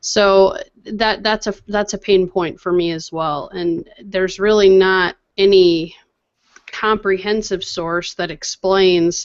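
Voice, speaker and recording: Very slowly, a woman speaks with monotone, flat intonation. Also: medium pitch for a woman. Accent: Midwestern. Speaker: tech podcast co-host. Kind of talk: casual chat.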